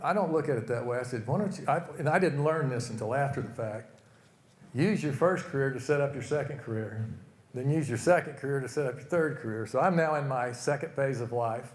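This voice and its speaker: Fairly quick speech with an American accent, ordinary pitch variation and audible room echo. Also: man. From Oklahoma, US. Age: 70s. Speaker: retired business executive, speaker. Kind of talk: motivational talk. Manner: casual, conversational.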